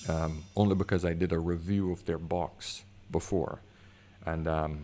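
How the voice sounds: A man's dark, mellow tone, low in pitch, with fairly even intonation at a fairly slow pace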